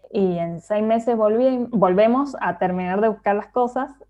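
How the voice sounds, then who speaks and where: Here is an ordinary speaking voice, a woman at medium pitch with ordinary pitch variation, going at a fairly slow pace. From Argentina, Mendoza. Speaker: illustrator and designer. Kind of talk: casual interview chat.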